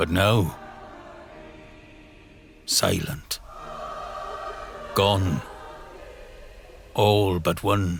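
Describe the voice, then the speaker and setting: With music in the background, a man with a very deep, low voice talks at a very slow pace, leaving long, frequent pauses and keeping fairly even intonation. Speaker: voice actor. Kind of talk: horror story narration. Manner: dark, ominous. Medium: audio drama.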